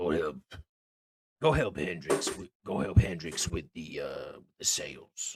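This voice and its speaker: A man puts on a raspy character voice and speaks at a fairly slow pace. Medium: actual play.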